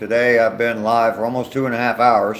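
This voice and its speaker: Medium-pitched male speech with an American accent, noticeable background noise behind it. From US, not the South; grew up where he lives now. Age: 60s. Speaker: live streamer, vlogger. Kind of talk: casual chat reading live comments while walking. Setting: outdoors on a walking trail, live stream. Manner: hesitant, many fillers.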